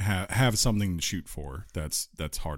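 A man talks at a moderate pace, his pitch varying in an ordinary way, in a very clean recording against a silent background. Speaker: gaming podcast co-host. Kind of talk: casual chat.

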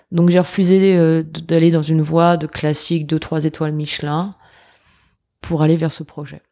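A woman with a very deep, low pitch and a dark, mellow tone speaks fairly slowly in a monotone, flat intonation on a very clean recording with a silent background. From western France, Angers (Pays de la Loire). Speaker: sommelier and restaurant partner. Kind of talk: interview.

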